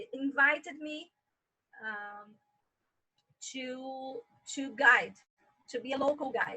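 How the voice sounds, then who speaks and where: A woman with an American accent speaks at a very slow pace in a raised, projected voice, with long, frequent pauses and big swings in loudness. Her high pitch shows ordinary variation and a bright, sharp tone. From Brazil. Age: 40s. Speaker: tour guide. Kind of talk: interview.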